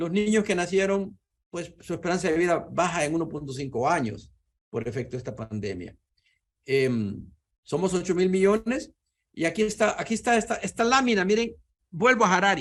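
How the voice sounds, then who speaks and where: A man's high-pitched voice at a moderate pace, with very wide pitch swings. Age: 70s. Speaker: physics professor. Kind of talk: lecture.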